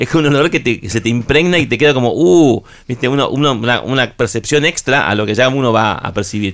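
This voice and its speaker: A man talks at a fairly quick pace with hardly any pauses. He has an unremarkable speaking voice, with a medium pitch and ordinary pitch variation. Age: 50s. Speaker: rock musician. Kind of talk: radio interview. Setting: radio studio.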